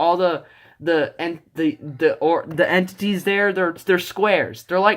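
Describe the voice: This clip is plain reading aloud.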